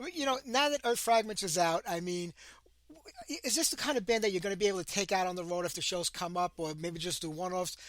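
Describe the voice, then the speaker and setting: Very fast talk in a Brooklyn accent with lively intonation. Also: man, high pitch for a man. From New York City, Brooklyn. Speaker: radio host. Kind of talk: interview.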